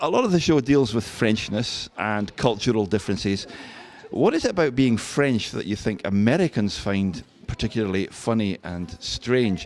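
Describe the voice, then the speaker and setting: A man with a Scottish accent speaks at a moderate pace. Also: medium pitch for a man, lively intonation. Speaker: radio host. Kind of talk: interview.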